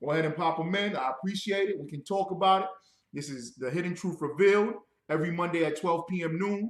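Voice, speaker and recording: Loud and at a very fast pace, a man speaks. His pitch is high, with ordinary variation. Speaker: religious radio show host. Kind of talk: religious teaching broadcast. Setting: livestream. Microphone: bad reverb.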